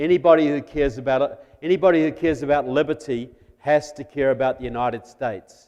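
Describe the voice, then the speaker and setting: A man in a New Zealand accent speaks at a moderate pace, his pitch fairly high and his intonation fairly even. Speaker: guest speaker on national security. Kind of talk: political talk to church audience. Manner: conversational, humorous.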